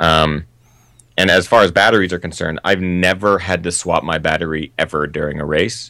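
A man's very deep, low voice in an American accent, bright and sharp in tone, with fairly even intonation. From US Pacific Northwest (Seattle). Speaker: trail running filmmaker and YouTuber. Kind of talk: casual interview.

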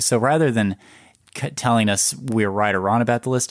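A man speaks with a normal speaking voice at a moderate pace and fairly low pitch, his pitch varying in an ordinary way. The recording is very clean with a silent background, dry and close with no echo. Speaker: podcast host. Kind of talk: casual chat.

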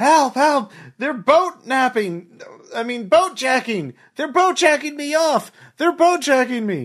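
Shouting in a put-on character voice, a man hits an extremely high pitch at a fairly slow pace. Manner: yelling for help.

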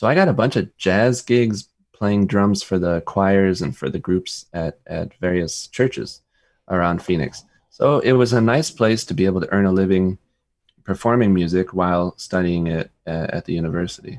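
A man with a very deep, low pitch and ordinary pitch variation, at a moderate pace, with an American accent. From US, Rochester, New York. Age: 40s. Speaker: composer and conductor. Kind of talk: interview. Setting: video call.

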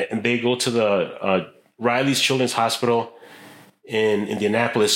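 A man speaks in a plain, everyday voice at a moderate pace. His pitch is medium, with an American accent. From Chicago. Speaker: metal sculptor. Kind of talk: casual chat. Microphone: poor sound, ambient recording.

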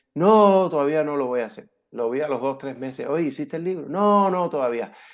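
This man has a plain, everyday voice, moving at a moderate pace with lively intonation. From California (born in Havana, Cuba). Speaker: entrepreneur and author. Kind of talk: interview.

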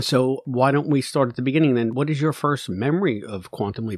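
A man with an ordinary speaking voice at medium pitch, ordinary pitch variation and a fairly quick pace, against a quiet background. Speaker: podcast host interviewer. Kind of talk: casual interview chat.

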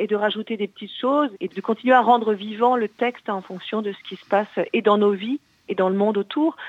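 Her voice is a plain, everyday voice, as a woman speaks at a moderate pace with a medium pitch and ordinary pitch variation. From Brittany. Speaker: actress and singer. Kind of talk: radio interview. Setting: phone call.

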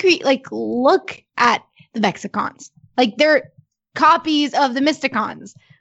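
A woman talks with lively intonation. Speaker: podcast co-host discussing the show. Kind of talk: casual podcast discussion.

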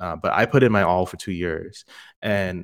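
A man's very deep, low pitch carries fairly even intonation. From Singapore. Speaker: developer advocate. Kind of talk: interview conversation.

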